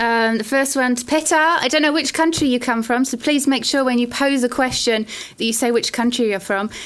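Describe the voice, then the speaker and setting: A woman's high-pitched voice at a fairly quick pace, ordinary pitch variation, noticeable background noise. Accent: British. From Britain. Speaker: lecturer and open day host. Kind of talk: online open day presentation.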